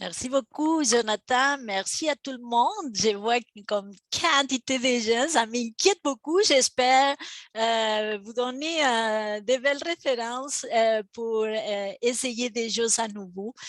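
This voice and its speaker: A woman's high-pitched voice in an Argentine accent, at a very slow pace with hardly any pauses, big swings in loudness and ordinary pitch variation, with a dry, close sound and no echo. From Argentina. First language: Spanish (speaking French). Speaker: professor and heritage restorer. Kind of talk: webinar lecture. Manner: halting, many fillers.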